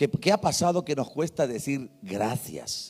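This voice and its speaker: Very wide pitch swings and vocal fry in a man's voice, recorded very cleanly over a silent background. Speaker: pastor. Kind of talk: sermon.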